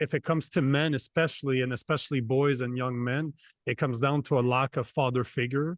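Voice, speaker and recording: The sound is dry and close with no echo as a man speaks at a medium pitch and a fairly quick pace. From Canada. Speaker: men's coach and podcaster. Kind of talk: podcast interview. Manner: animated.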